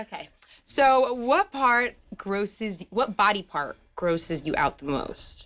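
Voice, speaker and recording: With a New Jersey accent, a woman speaks very slowly at a fairly high pitch with very wide pitch swings. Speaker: music channel interviewer. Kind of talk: interview. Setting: studio.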